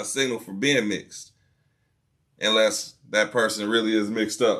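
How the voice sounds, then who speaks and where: Loud and bright, a man's voice comes across with a sharp tone. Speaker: podcast host. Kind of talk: casual chat.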